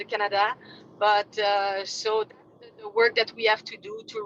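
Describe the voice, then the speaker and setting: A woman with a Quebec French accent, bright and sharp in tone, at a fairly slow pace, in a dry, close sound with no echo. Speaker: fitness industry representative. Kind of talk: business meeting update. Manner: halting.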